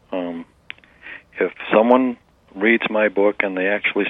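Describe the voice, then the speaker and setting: Fairly even intonation marks this man's speech. He has a fairly low pitch and an American accent. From Massachusetts. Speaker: memoir author. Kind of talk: interview.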